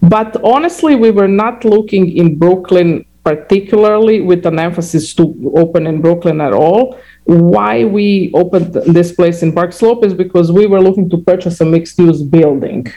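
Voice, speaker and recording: A woman speaks with a Croatian accent at a moderate pace. Her pitch is fairly low, with ordinary variation. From Croatia (former Yugoslavia). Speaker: restaurant founder and CEO. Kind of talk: interview. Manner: halting, many fillers and repetitions.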